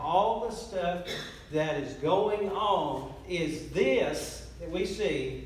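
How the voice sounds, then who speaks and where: The voice moves with ordinary pitch variation, and some room echo can be heard. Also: man. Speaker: pastor. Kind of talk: sermon. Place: church. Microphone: camera far.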